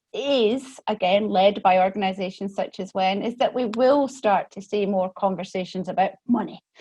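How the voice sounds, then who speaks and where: Somewhat breathy, a woman with a Scottish accent speaks at a medium pitch with ordinary pitch variation against a quiet background. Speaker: economics professor, panelist. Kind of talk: webinar panel discussion.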